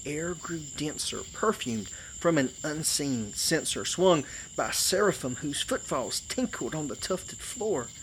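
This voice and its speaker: Speaking with a strong Georgia accent, this man has a fairly high pitch. His pitch swings very widely at a fairly slow pace. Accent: thick Southern US (Georgia). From Georgia, US South. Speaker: storyteller. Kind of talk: poetry reading, campfire tale.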